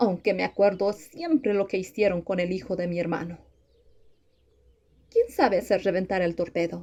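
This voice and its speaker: A woman's gruff put-on character voice at medium pitch, moderate pace, with long, frequent pauses. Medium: read story. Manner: proud, gruff.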